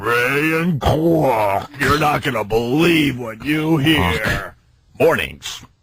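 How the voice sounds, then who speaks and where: Using a put-on character voice, a man speaks at a very slow pace. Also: medium pitch for a man. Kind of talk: announcer-style, formal.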